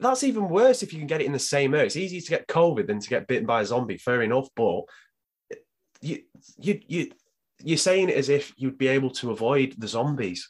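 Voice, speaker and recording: A man's fairly high voice, fairly quick, with very wide pitch swings. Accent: British. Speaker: guest co-host. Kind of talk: casual banter. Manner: hyped, energetic.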